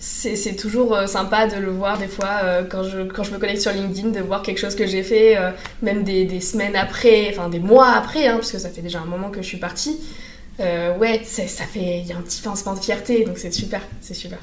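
A woman speaks at a moderate pace and medium pitch with fairly even intonation, her loudness swinging widely, over noticeable background noise and audible room echo. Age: 20s. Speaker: communication student and former intern. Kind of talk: casual interview. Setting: in person in an office.

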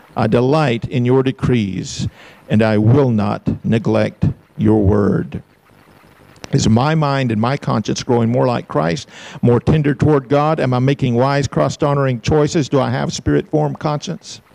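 With an Alabama accent, a man talks at a fairly slow pace, his pitch medium and its variation ordinary. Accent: Southern US (Alabama). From US South. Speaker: pastor. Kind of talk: sermon.

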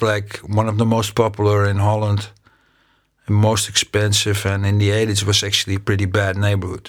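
The speaker has a Dutch accent and a fairly quick pace. The loudness stays very even. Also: man. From Amsterdam, Netherlands. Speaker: eyewitness guest. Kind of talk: casual recollection, interview. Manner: halting, hesitant with fillers.

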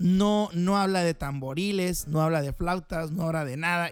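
With an animated tone, a man speaks at a high pitch that shows ordinary variation. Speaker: podcast host. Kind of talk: casual monologue.

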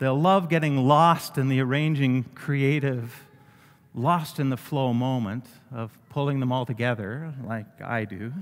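At a fairly slow pace, a man talks at a medium pitch with ordinary pitch variation in a plain, everyday voice. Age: 60s. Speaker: pastor. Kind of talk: sermon.

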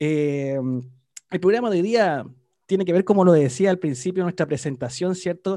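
Using a dark, mellow tone at a high pitch, a man speaks at a moderate pace. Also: ordinary pitch variation. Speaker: school show host. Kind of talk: show hosting.

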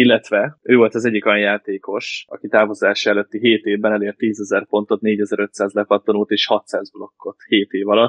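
A man's fairly low voice, monotone and flat, at a moderate pace with hardly any pauses. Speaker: basketball fan guest. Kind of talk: casual chat.

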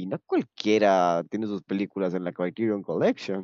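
With a dark, mellow tone, a man talks at a moderate pace. The background is quiet. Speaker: film podcast host. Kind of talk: casual chat. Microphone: moved microphone after technical problems.

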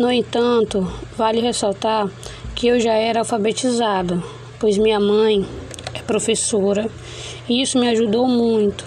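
A woman speaks in a fairly high pitch with monotone, flat intonation. Her pace is fairly slow, with long, frequent pauses and noticeable background noise. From Brazil, Roraima (Caroebe). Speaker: university student. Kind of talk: class presentation. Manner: halting.

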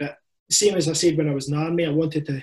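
In a Scottish accent, a man speaks at a fairly high pitch. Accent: Scottish (Ayrshire). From Scotland, Ayrshire. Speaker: army veteran and firefighter. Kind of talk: casual chat. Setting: video call.

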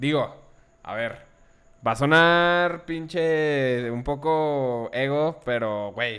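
A man with ordinary pitch variation. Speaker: student and musician. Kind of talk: casual chat.

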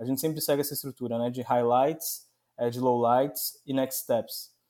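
In a very clean recording with a silent background, a man talks at a fairly quick pace. His fairly high voice has a dark, mellow tone and fairly even intonation. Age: 30s. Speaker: sales director. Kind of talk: interview.

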